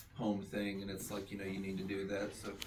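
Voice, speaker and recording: A man talks at a fairly quick pace with a fairly low pitch. Audible room echo surrounds his voice. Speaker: comic book creator and author. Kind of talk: casual introductions at a meeting. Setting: comic shop meeting. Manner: fast.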